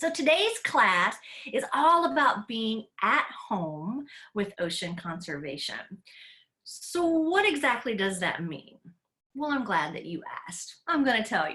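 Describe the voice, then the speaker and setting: A woman speaks at a fairly slow pace with a bright, sharp tone, fairly high pitch, vocal fry, very wide pitch swings, big swings in loudness and long, frequent pauses. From Tennessee, US South. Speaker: educator. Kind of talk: online class for kids. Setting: live video call. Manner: animated.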